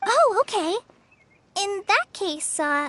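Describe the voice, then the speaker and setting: A woman's put-on character voice, squeaky and extremely high, with a warm, nervous tone and lively intonation, in a dry, close sound with no echo. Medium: video game. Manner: warm, slightly nervous.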